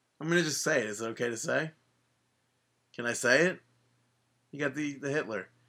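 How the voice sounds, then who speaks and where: Mumbling with long, frequent pauses, a man speaks at a fairly high pitch in a bright, sharp tone. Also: ordinary pitch variation, fairly quick pace. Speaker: wrestling podcast co-host. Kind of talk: casual chat. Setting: remote call.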